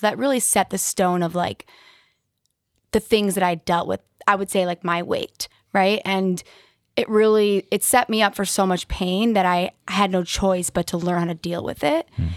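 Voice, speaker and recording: Recorded very cleanly against a silent background, with a dry, close sound and no echo, a woman speaks in a normal speaking voice at a medium pitch with fairly even intonation. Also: moderate pace. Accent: American. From West Bloomfield, Michigan, US. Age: 30s. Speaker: life coach and motivational speaker. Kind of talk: casual chat.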